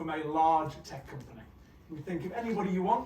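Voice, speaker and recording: Someone with a British accent speaks amid audible room echo. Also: man. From UK. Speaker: conference speaker, engineering executive. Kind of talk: conference talk. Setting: stage with audience. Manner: hesitant, many fillers.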